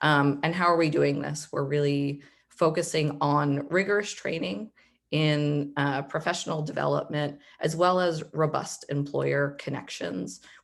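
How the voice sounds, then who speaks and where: With a Philadelphia accent and a very deep, low pitch, a woman speaks at a fairly slow pace with ordinary pitch variation. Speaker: nonprofit managing director. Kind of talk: presentation on a video call.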